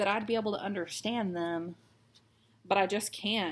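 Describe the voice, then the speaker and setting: The speech, in an American accent, moves at a fairly slow pace. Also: woman. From Texas. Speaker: cross stitch vlogger. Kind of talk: casual chat while stitching. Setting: at home.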